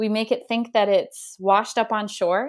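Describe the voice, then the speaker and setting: On a very clean recording with a silent background, a woman uses an ordinary speaking voice at a fairly high pitch with ordinary pitch variation. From Maine, US (coastal). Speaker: company marketing executive. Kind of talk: interview conversation.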